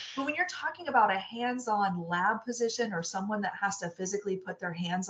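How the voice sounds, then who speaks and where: An animated tone at a fairly quick pace, with hardly any pauses, ordinary pitch variation and noticeable background noise. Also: woman. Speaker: senior recruiter. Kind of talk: interview. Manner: loud.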